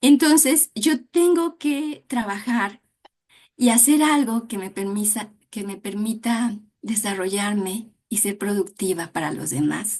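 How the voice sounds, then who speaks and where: A woman's somewhat breathy, fairly high voice at a very slow pace, with lively intonation. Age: 60s. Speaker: dance therapist. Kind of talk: interview.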